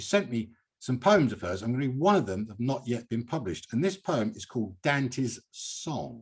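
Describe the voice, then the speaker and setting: A man at medium pitch speaks with an English accent at a moderate pace, somewhat breathy. His voice makes very wide pitch swings and big swings in loudness on a very clean recording with a silent background. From England. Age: 70s. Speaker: poet and poetry reading host. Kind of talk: hosted poetry reading with commentary.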